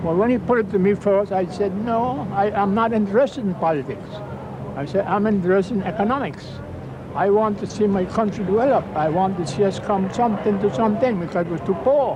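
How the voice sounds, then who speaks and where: Noticeable background noise sits behind a man with a high pitch and ordinary pitch variation. He speaks at a fairly quick pace. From British Virgin Islands. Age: 80s+. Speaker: retired politician. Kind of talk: interview.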